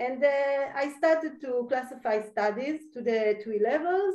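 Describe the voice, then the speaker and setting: Lively intonation carries a woman's high-pitched voice. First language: Hebrew. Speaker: university lecturer. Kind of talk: lecture. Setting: video call. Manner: halting.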